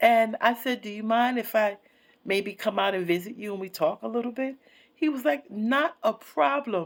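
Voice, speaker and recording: A woman speaks at a moderate pace in a fairly high pitch. Her intonation is lively. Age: 60s. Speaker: counselor and vlogger. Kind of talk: personal monologue vlog. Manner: halting, many fillers.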